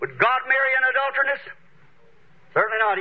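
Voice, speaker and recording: A man speaks at an extremely high pitch. His pitch variation is ordinary. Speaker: preacher. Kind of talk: sermon preaching to a congregation. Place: church.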